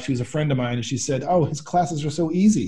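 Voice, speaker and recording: This man's dark, mellow voice is somewhat breathy, with ordinary pitch variation. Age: 50s. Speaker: think tank spokesman and author. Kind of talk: interview conversation. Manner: hesitant with many fillers.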